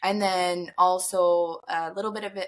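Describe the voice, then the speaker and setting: A woman with a bright, sharp tone and a slight Newfoundland accent. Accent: slight Newfoundland tinge. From Alberta, Canada. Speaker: safety professional. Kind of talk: podcast interview.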